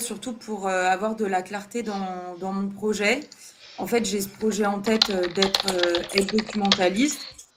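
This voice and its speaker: A woman talks in a calm tone at a medium pitch and a fairly slow pace. Her intonation is monotone and flat, with noticeable background noise. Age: 30s. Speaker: job seeker in career change. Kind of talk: counseling interview.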